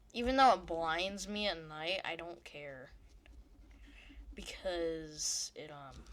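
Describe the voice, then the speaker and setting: The delivery is very slow. Long, frequent pauses run throughout. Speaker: gaming youtuber. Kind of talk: gameplay commentary. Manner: casual, rambling with fillers.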